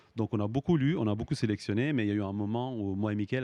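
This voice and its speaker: A man talks at a very fast pace in a fairly low pitch with a dark, mellow tone. The sound is dry and close, with no echo. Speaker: film director and screenwriter. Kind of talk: interview. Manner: halting, many repetitions and fillers.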